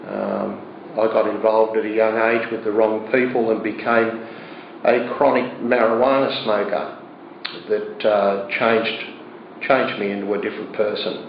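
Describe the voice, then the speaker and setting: A man with an Australian accent at medium pitch and moderate pace, monotone and flat, with noticeable background noise and audible room echo. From Australia, Sydney. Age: 60s. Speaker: churchgoer giving testimony. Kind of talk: testimony. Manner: halting, with many fillers.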